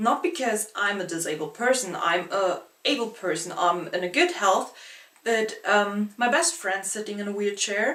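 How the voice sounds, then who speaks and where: A woman with a non-native accent, medium-pitched and lively in intonation, at a moderate pace over noticeable background noise. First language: not English. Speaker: book vlogger. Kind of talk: casual vlog monologue. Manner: halting.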